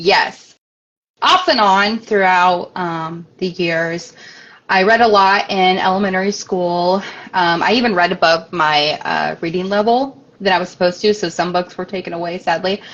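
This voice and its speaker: Spoken with a Midwestern American accent, the delivery keeps a moderate pace and fairly even intonation. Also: woman, medium pitch for a woman. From US Midwest, Springfield, Illinois. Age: 20s. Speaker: author. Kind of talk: interview. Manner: hesitant, many fillers.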